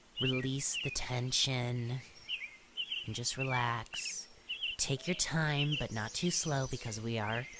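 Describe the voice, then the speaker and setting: Amid noticeable background noise, a woman with a very deep, low voice speaks very slowly in a calm, soothing tone. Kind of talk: guided relaxation.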